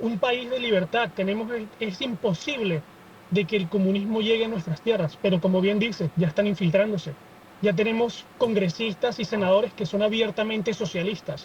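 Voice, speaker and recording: Amid noticeable background noise, a man with a high voice speaks at a moderate pace and ordinary pitch variation. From Venezuela. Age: 20s. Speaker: student activist. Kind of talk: podcast interview.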